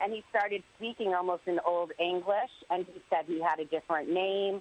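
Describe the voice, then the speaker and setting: A woman with an American accent and an unremarkable speaking voice, fairly low in pitch, at a moderate pace, in a dry, close sound with no echo. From Connecticut. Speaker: ghost tour operator. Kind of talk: casual interview.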